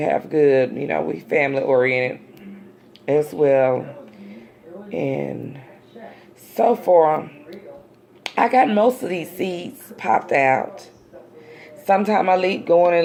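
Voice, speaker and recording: A woman with an American accent speaks at a very slow pace in a relaxed tone, her very deep, low voice swinging very widely in pitch through long, frequent pauses over noticeable background noise. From US South, Dallas, Texas. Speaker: amateur gardening vlogger. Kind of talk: casual how-to vlog. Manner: relaxed, halting with fillers.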